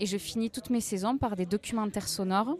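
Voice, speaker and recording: A woman talks fairly quickly at a medium pitch. She has an ordinary speaking voice. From Aveyron, southern France (Rodez). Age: 20s. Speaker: freelance journalist and podcaster. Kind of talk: interview.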